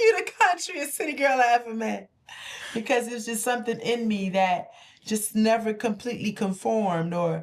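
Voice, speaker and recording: A woman's unremarkable speaking voice, fairly high in pitch, at a moderate pace with lively intonation. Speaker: podcast co-host. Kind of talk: casual chat.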